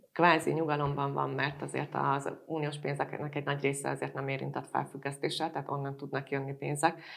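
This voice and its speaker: A woman's vocal fry at a fairly quick pace, on a very clean recording with a silent background. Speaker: podcast moderator, business journalist. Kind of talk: panel discussion.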